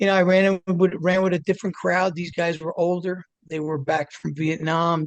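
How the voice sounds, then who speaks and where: In an American accent, a high-pitched man talks with hardly any pauses, recorded in a dry, close sound with no echo. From New Jersey, near Manhattan. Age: 60s. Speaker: addiction recovery advocate. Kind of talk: interview storytelling. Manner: casual, filler-heavy.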